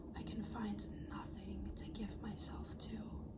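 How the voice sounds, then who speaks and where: Someone whispers softly over noticeable background noise. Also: woman. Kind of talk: poetry reading. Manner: whispered, soft-spoken.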